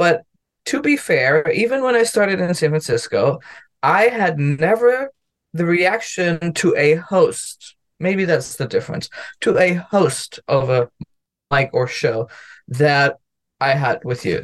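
A man with a German accent speaks at a high pitch and a fairly slow pace. He leaves long, frequent pauses, and his pitch swings very widely. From Germany. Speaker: comedian and lawyer. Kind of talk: casual chat.

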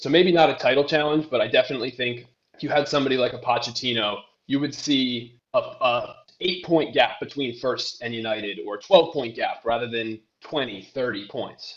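A man with an ordinary speaking voice keeps a moderate pace and normal pitch movement. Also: fairly high pitch for a man. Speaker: data scientist and football fan. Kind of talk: interview. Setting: remote interview from the US.

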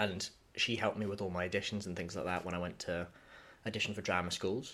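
Speaking at a fairly quick pace with fairly even intonation, a man with a Scottish accent comes through in a very clean recording with a silent background. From Scotland, Dunblane. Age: 20s. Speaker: musical theatre performer. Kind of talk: casual chat.

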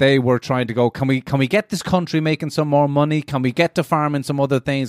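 In a Cork accent, someone talks at a very fast pace, the sound dry and close with no echo on a very clean recording with a silent background. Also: man. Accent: Cork Irish. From Ireland, Cork. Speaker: access programme student discussing Irish history. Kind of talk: casual chat.

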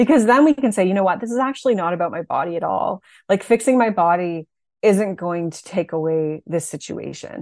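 An ordinary speaking voice, a woman's at medium pitch, moves at a fairly quick pace with lively intonation and big swings in loudness, the sound dry and close with no echo. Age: 40s. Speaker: body image coach. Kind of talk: interview. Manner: casual, many fillers.

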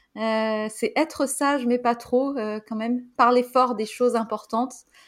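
On a very clean recording with a silent background, a woman speaks very slowly at a fairly high pitch with fairly even intonation. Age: 20s. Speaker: podcast host. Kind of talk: casual interview.

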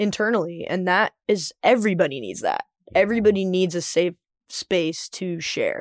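In a plain, everyday voice, a woman with an American accent talks at medium pitch and a moderate pace with ordinary pitch variation, on a very clean recording with a silent background and a dry, close sound with no echo. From US South. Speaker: podcast host and singer. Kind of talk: scripted outro; casual interview chat.

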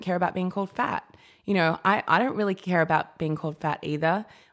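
In an Australian accent, a woman talks at a fairly quick pace with a medium pitch, on a very clean recording with a silent background. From Australia (Sydney's Sutherland Shire), childhood in New Guinea. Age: 30s. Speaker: journalist and curve model. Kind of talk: casual chat. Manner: animated.

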